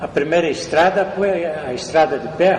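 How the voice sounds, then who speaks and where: A man talks at a moderate pace, with audible room echo and noticeable background noise in the recording. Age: 80s+. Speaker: elderly local resident recounting town history. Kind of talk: oral history interview. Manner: halting, with repetitions.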